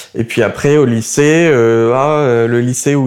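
Noticeable background noise sits behind a man's voice. He has a medium pitch and fairly even intonation. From southern France, Montpellier. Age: 20s. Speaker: young political activist. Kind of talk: interview. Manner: halting.

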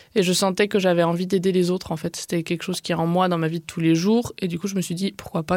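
Very fast and monotone, a woman with a fairly low pitch speaks in a flat intonation on a very clean recording with a silent background. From southwest France (Gers). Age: 20s. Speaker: artist and collective co-founder. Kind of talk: interview. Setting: radio studio.

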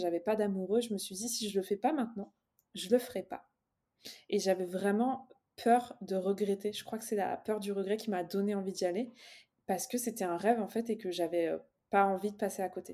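A woman speaks at a moderate pace with a dark, mellow tone. Her pitch sits in the middle range, and her intonation stays fairly even. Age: 20s. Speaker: business coach. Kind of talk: podcast interview. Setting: home office, remote call.

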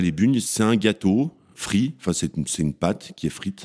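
A man with a dark, mellow tone and lively intonation is heard in a dry, close sound with no echo. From France, Savoie (Tarentaise valley). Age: 40s. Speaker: chef. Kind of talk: interview testimony. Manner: casual, hesitant with many fillers.

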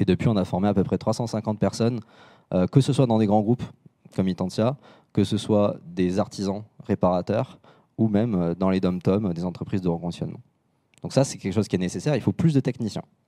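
A man with a fairly low, dark, mellow voice speaks at a fairly quick pace but leaves long, frequent pauses, with ordinary pitch variation. The recording is very clean, dry and close, with no echo and a silent background. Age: 20s. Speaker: repair business founder and speaker. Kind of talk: conference talk.

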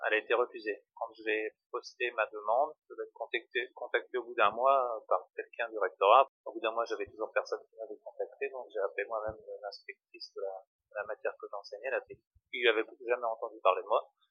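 A man speaks at a fairly quick pace, with big swings in loudness. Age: 40s. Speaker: train maintenance technician, former teacher. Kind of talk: interview testimony. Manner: hesitant, many fillers. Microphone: poor sound quality.

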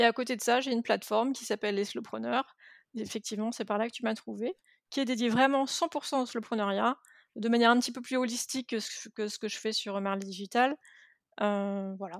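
Delivered in a normal speaking voice, the speech moves at a fairly quick pace with fairly even intonation over a very clean recording with a silent background. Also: woman, fairly high pitch for a woman, dry, close sound with no echo. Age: 40s. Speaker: entrepreneur and web marketing consultant. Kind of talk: casual interview conversation.

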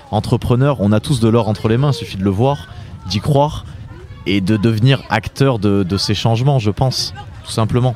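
A man's medium-pitched voice varies in an ordinary way at a moderate tempo. Music can be heard behind him. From France, Drôme. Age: 20s. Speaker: author and event organiser. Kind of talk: interview. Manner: hesitant, with repetitions.

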